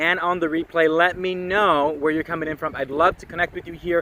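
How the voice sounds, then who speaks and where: A loud man with a high pitch, talking at a fairly quick pace over noticeable background noise. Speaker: online marketing coach. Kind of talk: live stream talk. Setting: outdoors at the beach. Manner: animated.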